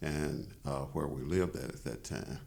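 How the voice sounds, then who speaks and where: Over audible room echo, a man with a Tennessee accent speaks at a moderate pace in a very deep, low pitch, his dark, mellow tone carrying vocal fry and fairly even intonation. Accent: Southern US (Tennessee). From US South, Chattanooga, Tennessee. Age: 70s. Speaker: appellate judge. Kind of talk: interview. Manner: halting, many filler words.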